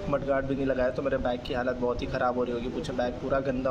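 A man rattles along at a very fast pace while noticeable background noise fills the recording. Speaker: motovlogger. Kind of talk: casual vlog chat. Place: motorbike.

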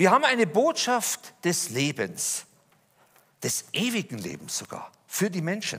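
Speaking at a fairly slow pace, a man with a high pitch and a bright, sharp tone swings his pitch very widely. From Lower Bavaria, Germany; Bavaria, Germany. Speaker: speaker giving personal testimony; speaker. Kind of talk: testimony talk. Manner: animated. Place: church.

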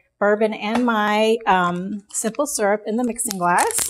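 The speaker is a woman. Her pitch variation is ordinary. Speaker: cocktail instructor. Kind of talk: tutorial. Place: home room.

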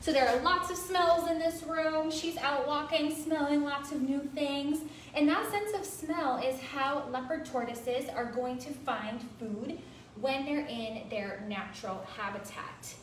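A woman at a fairly slow pace, with light background noise and audible room echo. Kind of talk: educational commentary. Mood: warm, relaxed. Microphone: phone near.

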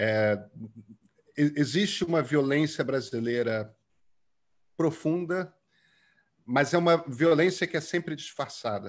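A very slow delivery with long, frequent pauses and lively intonation against a quiet background. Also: man, fairly high pitch for a man. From Brazil, Rio de Janeiro. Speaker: journalist and author; journalist. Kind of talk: interview. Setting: video call. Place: home room. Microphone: earbuds.

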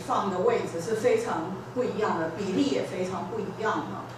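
A woman speaks at a fairly slow pace, her pitch swinging very widely. Noticeable background noise and strong room echo fill the recording. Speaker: invited guest lecturer. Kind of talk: classroom introduction and discussion. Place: classroom.

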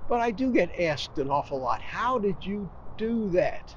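A man speaks at a high pitch. The sound is dry with no echo, over light background noise. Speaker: lifestyle vlogger. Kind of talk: casual vlog chat. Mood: relaxed, cheerful. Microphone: lapel.

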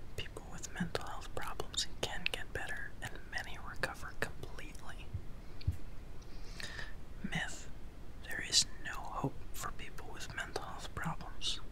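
A man's voice with long, frequent pauses, dry with no echo, over noticeable background noise. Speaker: ASMR and mental health video host. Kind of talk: ASMR whispered educational narration. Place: home room. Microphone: studio mic.

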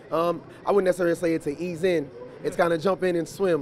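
Speech comes at a very fast pace from a man. The sound is dry with no echo, and light background noise is present. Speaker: basketball head coach. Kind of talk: interview answer. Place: hall. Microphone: handheld.

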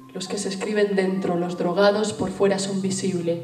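Faint music plays behind a woman who speaks at a moderate pace, with audible room echo. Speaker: spoken word poet. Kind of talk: spoken word poetry performance. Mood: intense, rhythmic delivery. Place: stage.

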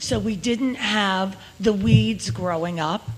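A woman's medium-pitched voice with a Long Island accent, over noticeable background noise. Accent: New York (Long Island). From Long Beach, New York. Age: 70s. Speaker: resident speaking at public comment. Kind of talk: public comment.

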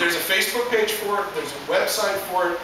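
Strong room echo and noticeable background noise surround a man's speech. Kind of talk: informal speech to an audience. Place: stage. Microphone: camera far.

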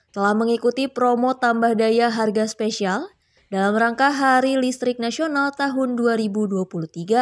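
A woman's very slow, fairly high-pitched speech with ordinary pitch variation, on a very clean recording with a silent background. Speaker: news reporter. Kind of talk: news reading. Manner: formal; steady, measured delivery.

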